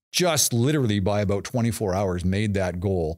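A man with a plain, everyday voice talks fairly quickly in a fairly low pitch with ordinary pitch variation, over a quiet background. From Toronto, Canada. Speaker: college professor and automotive program coordinator; college professor guest. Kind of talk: interview conversation. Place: studio. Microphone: studio mic.

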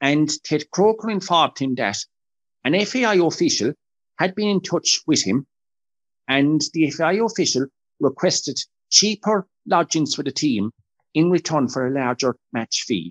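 A man with an Irish accent speaks at a moderate pace in a fairly high pitch, his voice swinging very widely in pitch and broken by long, frequent pauses, over a quiet background. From Ireland. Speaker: football historian; podcast guest or co-host. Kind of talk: interview. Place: home room. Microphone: video call.

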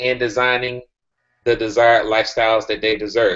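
At a fairly quick pace, a man speaks. The background is quiet. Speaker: group call host. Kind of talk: presentation to group. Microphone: video call.

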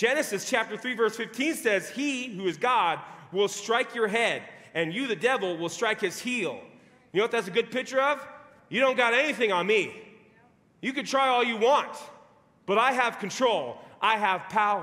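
A man speaks at a moderate pace with a raised, projected voice. His delivery is broken by long, frequent pauses. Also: ordinary pitch variation. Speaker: preacher. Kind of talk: sermon. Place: church.

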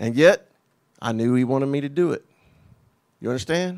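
A man with an American accent talks at a moderate pace in a quiet background. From United States. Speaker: pastor, preacher. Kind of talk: sermon, personal testimony. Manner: passionate, earnest, conversational. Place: church. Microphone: handheld.

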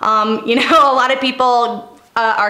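A woman's flat, monotone voice with audible room echo. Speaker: fitness coach vlogger. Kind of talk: casual vlog Q&A advice. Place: home room.

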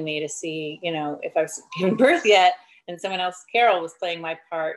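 A woman with a normal speaking voice and a fairly low pitch talks at a moderate pace. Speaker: actress interview guest. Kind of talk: interview answer. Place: home room. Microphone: video call.

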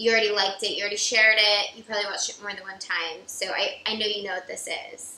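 Over light background noise and audible room echo, a woman speaks at a very fast pace in a monotone, flat intonation. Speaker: cooking show co-host. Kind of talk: tutorial. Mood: playful competitive banter. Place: kitchen.

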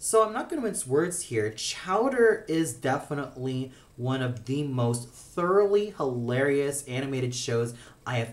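The pace is moderate. The intonation is lively. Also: man. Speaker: cartoon reviewer. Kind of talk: review commentary. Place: home room. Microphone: phone near.

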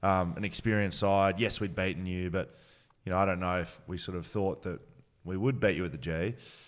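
A man with an Australian accent, very deep and low in pitch, fairly even in intonation, at a fairly quick pace against a quiet background. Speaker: podcast host. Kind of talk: casual interview. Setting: studio. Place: studio. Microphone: studio mic.

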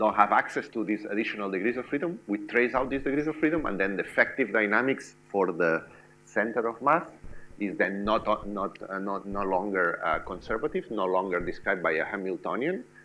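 A man talks in a normal speaking voice with a fairly low pitch and lively intonation. His pace is fairly quick, with light background noise. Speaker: lecturer. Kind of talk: lecture. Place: classroom.

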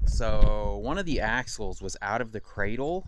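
The sound is dry, without any echo. Noticeable background noise accompanies the man's speech. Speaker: truck driver vlogger. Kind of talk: casual vlog chat. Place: street. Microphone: phone near.

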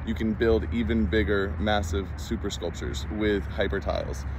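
A man speaks in a fairly low voice with lively intonation. The sound is dry with no echo, and there is noticeable background noise. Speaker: product demonstrator. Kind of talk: casual product demo. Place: open country. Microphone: phone near.

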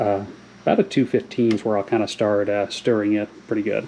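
A man with an American accent, over light background noise. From US South. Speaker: hobby farmer and channel host. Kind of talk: casual tutorial. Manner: hesitant, many filler words. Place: kitchen.

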